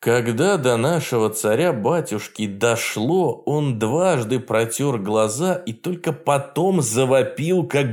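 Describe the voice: Lively intonation marks this voice. It is plain reading aloud.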